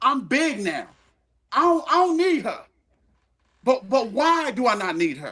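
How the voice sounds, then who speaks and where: A man talks at a moderate pace in a raised, projected voice. His intonation is lively and his tone bright and sharp. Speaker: podcast panelist. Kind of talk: heated debate. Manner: loud; animated.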